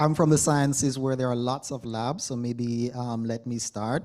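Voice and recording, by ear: Speaking at a fairly slow pace, a man with a medium pitch keeps his intonation fairly even, his tone slightly mellow.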